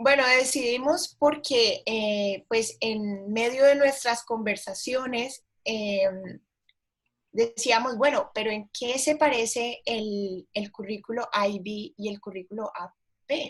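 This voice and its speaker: A woman's very slow, fairly high-pitched speech with big swings in loudness, in a Cali Colombian accent. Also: ordinary pitch variation. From Colombia, Cali. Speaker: teacher, historian. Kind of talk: presentation conversation. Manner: hesitant, many fillers.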